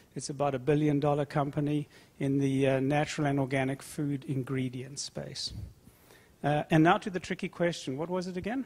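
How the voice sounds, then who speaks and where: A man with a South African accent speaks fairly quickly at a fairly high pitch, his intonation fairly even. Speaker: food company executive. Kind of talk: conference panel discussion.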